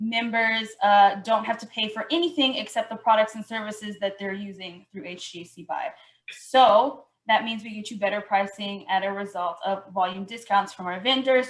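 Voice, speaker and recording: A woman talks in an ordinary speaking voice at a moderate pace. Her pitch is fairly high, with ordinary pitch variation. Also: big swings in loudness. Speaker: outreach coordinator presenting a purchasing program. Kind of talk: webinar presentation.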